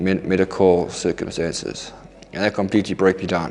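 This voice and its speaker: A fairly low-pitched man's voice with music in the background. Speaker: recovering addict. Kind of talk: testimony. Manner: halting.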